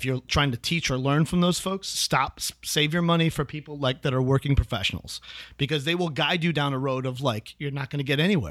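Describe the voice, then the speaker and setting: In a very clean recording with a silent background, a man with a plain, everyday voice talks at a fairly quick pace, his fairly high pitch moving with ordinary variation. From US Midwest, Chicago. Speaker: actor. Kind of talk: casual chat.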